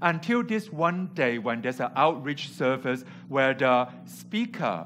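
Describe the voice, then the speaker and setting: Speaking at a fairly slow pace, a man has lively intonation and vocal fry. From Hong Kong. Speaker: preacher. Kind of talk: sermon. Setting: church.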